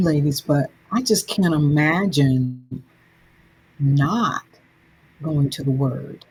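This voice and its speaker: A woman speaks at a very slow pace with an American accent and ordinary pitch variation. Noticeable background noise is present. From US South, Alabama. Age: 60s. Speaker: anthology author. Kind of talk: casual podcast chat. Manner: halting repetitions.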